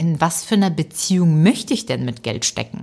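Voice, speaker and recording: A woman speaks at a fairly quick pace. Her voice is fairly low and somewhat breathy. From Ukraine, raised in Germany from age eight. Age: 30s. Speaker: author and comedian. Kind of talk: podcast interview. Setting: remote recording.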